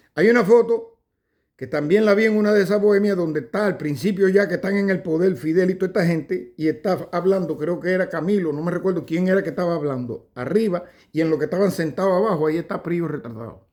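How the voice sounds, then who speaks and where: In a Cuban accent, a man with a high pitch talks very fast, using ordinary pitch variation. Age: 60s. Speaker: political commentator. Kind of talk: casual monologue. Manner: halting.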